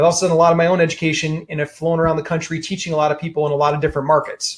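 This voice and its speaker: A man speaks at a very fast pace. His pitch is fairly high. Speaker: real estate investing educator. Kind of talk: webinar presentation. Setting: online webinar. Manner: animated.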